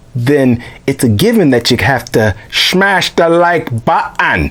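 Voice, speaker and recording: Speaking at a very slow pace, a man swings his pitch very widely. Noticeable background noise runs underneath. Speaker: tabletop gaming YouTuber. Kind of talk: video intro to camera. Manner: animated.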